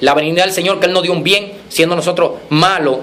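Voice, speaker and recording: With noticeable background noise and audible room echo, a man talks in an animated tone, his pitch high and its variation ordinary. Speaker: preacher. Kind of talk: sermon. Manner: fast.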